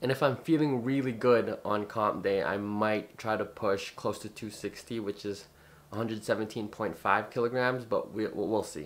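A man talks at a moderate pace. His pitch is fairly low, with ordinary variation. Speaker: powerlifter vlogger. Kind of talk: casual vlog chat. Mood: relaxed, upbeat. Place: home room.

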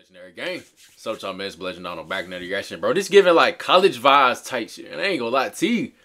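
Over a quiet background, a man talks very fast with vocal fry, very wide pitch swings and big swings in loudness. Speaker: sports reaction YouTuber. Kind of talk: casual reaction chat. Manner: animated, loud, informal.

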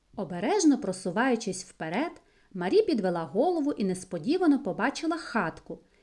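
An unforced reading voice. The words are read aloud.

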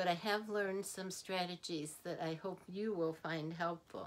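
A woman's voice with medium pitch, fairly even intonation, and a warm tone. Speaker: grandparent, counselor and author. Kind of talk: instructional talk to camera on grandparenting. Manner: warm, unhurried, friendly. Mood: warm, encouraging. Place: home room. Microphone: phone near.

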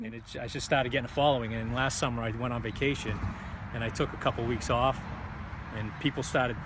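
Over noticeable background noise, a man rattles along at a very fast pace with monotone, flat intonation in a dry sound with no echo. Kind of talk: interview answer. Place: garden. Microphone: phone near.

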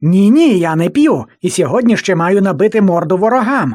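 At a middle pitch, the speaker uses a put-on character voice and keeps a moderate pace. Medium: fan dub. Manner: cocky, carefree.

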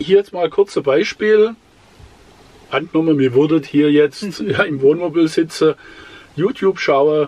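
Moderate-paced speech from a man. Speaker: travel vlogger. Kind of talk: tutorial. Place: home room.

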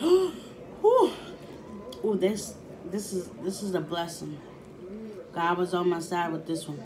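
A woman's fairly low voice at a very slow pace, ordinary pitch variation, and noticeable background noise. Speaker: food vlogger. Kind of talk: casual mukbang vlog chat. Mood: playful, pleased. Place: home room. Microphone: phone near.

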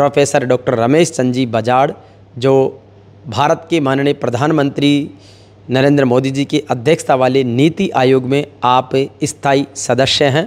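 Long, frequent pauses break up the speech. The intonation stays fairly even and the loudness very even. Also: man, medium pitch for a man. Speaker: interviewer. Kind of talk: interview. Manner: formal.

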